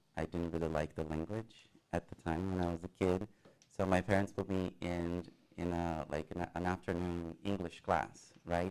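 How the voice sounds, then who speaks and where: At a moderate pace, a man with a very deep, low pitch speaks with fairly even intonation. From Brazil. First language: Portuguese. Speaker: college theater student. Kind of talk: interview. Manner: halting.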